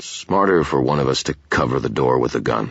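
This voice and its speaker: A man growls in a put-on character voice at a very deep, low pitch. He moves at a fairly quick pace with very even loudness. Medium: read story. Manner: snarling, curt.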